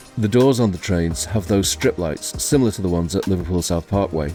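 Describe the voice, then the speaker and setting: A man's fairly low voice with ordinary pitch variation over music in the background. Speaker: YouTuber, railway video presenter. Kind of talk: documentary voice-over narration.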